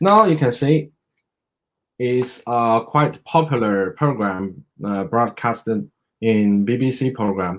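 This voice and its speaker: Speaking very slowly with a Chinese accent, a man uses a medium pitch and lively intonation in a very clean recording with a silent background. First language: Mandarin Chinese. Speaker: medical doctor. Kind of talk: educational presentation. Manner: halting, many fillers.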